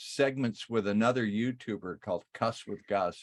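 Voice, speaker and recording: A man with an unremarkable speaking voice talks at a moderate pace in a fairly low pitch with ordinary pitch variation, recorded very cleanly against a silent background. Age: 60s. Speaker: retired TV station worker, crypto channel host. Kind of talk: casual interview chat.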